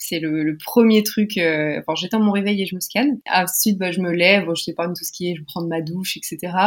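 A woman's ordinary speaking voice at medium pitch, moderate pace, and ordinary pitch variation, with hardly any pauses. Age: 20s. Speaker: psychology student with type 1 diabetes. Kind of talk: interview about personal health experience.

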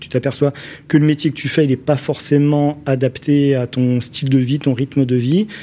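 A man with a dark, mellow tone and fairly high pitch talks at a moderate pace, his intonation fairly even. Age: 40s. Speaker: craftsman and social media influencer. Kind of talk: radio interview. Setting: studio.

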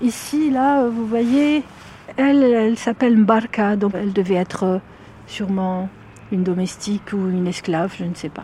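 At a fairly slow pace, a woman talks in a dark, mellow tone at medium pitch, somewhat breathy. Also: ordinary pitch variation. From Algeria, Algiers. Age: 50s. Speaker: psychologist and author. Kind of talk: interview.

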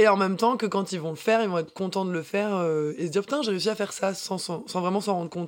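Pitch moves in an ordinary way. The woman rattles along at a very fast pace. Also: medium pitch for a woman. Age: 20s. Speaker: dancer and fitness instructor. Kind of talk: casual interview. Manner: energetic.

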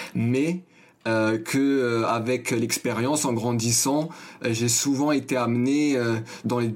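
A medium-pitched man speaks at a very slow pace. His loudness stays very even and his intonation fairly even. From Paris, 19th arrondissement. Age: 20s. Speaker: journalism student. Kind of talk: interview. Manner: halting, many fillers.

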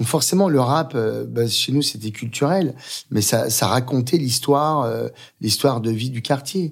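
In a very clean recording with a silent background, a man speaks at a fairly slow pace, his medium-pitched voice somewhat breathy. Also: ordinary pitch variation. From Paris suburbs (Aubervilliers). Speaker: chef and restaurant owner. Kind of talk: interview. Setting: restaurant.

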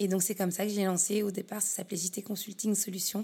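The speaker's tone is dark, mellow and somewhat breathy, delivered at a fairly quick pace with monotone, flat intonation. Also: woman. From Paris region, France. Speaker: business consultant. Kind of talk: interview. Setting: her office.

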